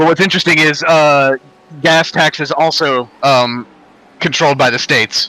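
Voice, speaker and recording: A man with an American accent speaks at a moderate pace in a fairly high voice. The sound is dry and close, with no echo. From North Carolina, US. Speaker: sim racing streamer. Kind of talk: casual chat during sim race stream. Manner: hesitant with many fillers.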